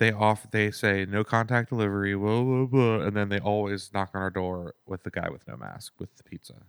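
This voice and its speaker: A quiet, mumbling man with a fairly low pitch and fairly even intonation at a fairly quick pace, hardly any pauses and big swings in loudness, in a dry, close sound with no echo. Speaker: musician and podcast co-host. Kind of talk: casual chat. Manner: mumbly, quiet.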